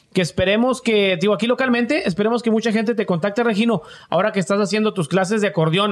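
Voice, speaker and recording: Very fast and with hardly any pauses, a man speaks at a high pitch, with very even loudness and ordinary pitch variation. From Matamoros, Tamaulipas, Mexico. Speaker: podcast co-host. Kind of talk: casual chat.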